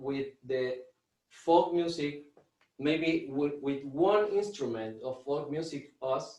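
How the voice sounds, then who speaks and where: A man speaks with an Argentine accent at a fairly high pitch. His pace is very slow, with ordinary pitch variation. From Argentina. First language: Spanish. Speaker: drummer and music teacher. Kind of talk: online workshop presentation. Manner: halting, with many repetitions and fillers.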